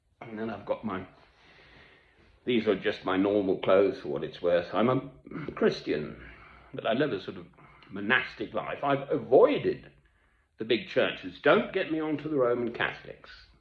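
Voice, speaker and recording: Speaking at a moderate pace with a British accent, a man leaves long, frequent pauses and shows big swings in loudness. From Britain, English and Scottish family. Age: 60s. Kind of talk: monologue to camera.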